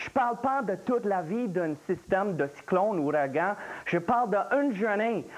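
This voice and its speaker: With a Louisiana accent, a man speaks in a high voice with lively intonation. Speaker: meteorologist. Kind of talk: live TV explanation.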